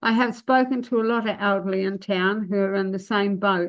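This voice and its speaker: A woman with a New Zealand accent at a medium pitch and moderate pace. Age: 70s. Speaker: public submitter at council meeting. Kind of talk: answering questions; public submission.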